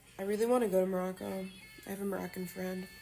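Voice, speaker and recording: A woman's animated voice at a medium pitch, delivered at a very fast pace. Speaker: livestreamer answering chat questions. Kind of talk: casual live stream Q&A. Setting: streaming from bed with an iPad.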